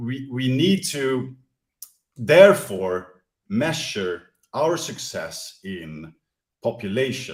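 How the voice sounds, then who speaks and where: Speaking very slowly with long, frequent pauses, a man with a non-native accent and a medium-pitched voice swings very widely in pitch and sharply in loudness. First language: not English. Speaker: crypto project presenter. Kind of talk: presentation. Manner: halting, many fillers and repeats.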